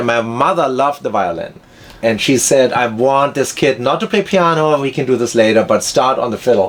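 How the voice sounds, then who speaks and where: Over noticeable background noise, a man with a German accent speaks at a moderate pace. His pitch is medium and his intonation lively. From Germany. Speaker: violinist and film composer. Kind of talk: casual interview chat. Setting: in person, Santa Monica.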